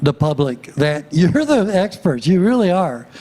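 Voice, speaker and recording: A man with a high pitch speaks with lively intonation. Noticeable background noise is present. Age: 80s+. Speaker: walkability planning consultant. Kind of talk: public presentation. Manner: hesitant with frequent fillers.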